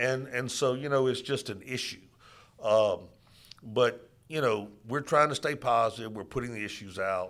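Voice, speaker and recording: A man talks in a Louisiana accent. His pitch variation is ordinary. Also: medium pitch for a man, moderate pace. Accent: Louisiana Southern US. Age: 60s. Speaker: political candidate. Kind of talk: interview. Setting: studio.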